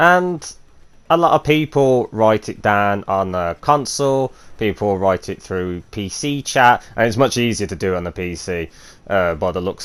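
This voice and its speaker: At a moderate pace, a man with a fairly low pitch and a normal speaking voice talks with lively intonation. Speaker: gaming youtuber. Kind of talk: gameplay commentary. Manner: casual with many fillers.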